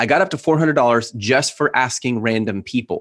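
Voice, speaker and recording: Very fast speech comes from a man with ordinary pitch variation. The recording is very clean, with a silent background. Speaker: e-commerce entrepreneur and coach. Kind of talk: interview. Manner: animated.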